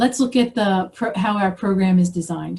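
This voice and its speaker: A woman with an American accent has a dark, mellow, somewhat breathy tone at a medium pitch, with ordinary pitch variation. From US Northeast, Philadelphia. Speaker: professor. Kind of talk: presentation lecture. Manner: fast.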